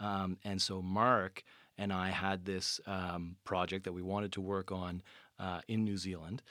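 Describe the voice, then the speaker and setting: In a very clean recording with a silent background, a man with a Canadian accent speaks at a fairly slow pace in a very deep, low pitch with a bright, sharp tone and monotone, flat intonation. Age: 30s. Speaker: PhD graduate, bat biologist. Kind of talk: casual interview.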